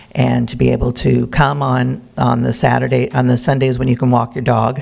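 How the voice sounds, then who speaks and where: Noticeable background noise can be heard. Over it, a man talks at a moderate pace. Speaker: botanic garden community representative. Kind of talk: public presentation. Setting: city council meeting.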